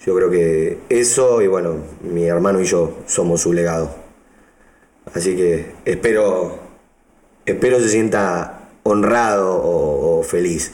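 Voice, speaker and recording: Speaking at a very slow pace with long, frequent pauses, a man uses a fairly low pitch, ordinary pitch variation and very even loudness. Audible room echo surrounds his voice. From Argentina, Buenos Aires province. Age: 30s. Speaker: DJ and music producer. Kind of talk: interview. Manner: halting, with repeated words.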